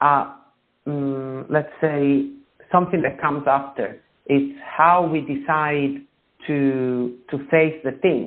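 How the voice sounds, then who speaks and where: A man with an Italian accent speaks at a fairly slow pace and a fairly high pitch, his flat, monotone delivery broken by long, frequent pauses. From Italy. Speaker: author. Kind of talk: interview. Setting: radio show. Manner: halting.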